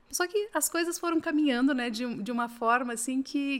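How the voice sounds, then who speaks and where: On a very clean recording with a silent background, a woman with a high pitch speaks at a moderate pace with ordinary pitch variation. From Paraná interior, Brazil. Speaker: automotive executive. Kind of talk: interview.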